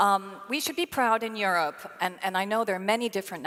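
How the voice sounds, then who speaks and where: A woman is speaking. Her pace is very fast. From Belgium (French-speaking). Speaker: panel moderator, sustainability leader. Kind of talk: panel discussion.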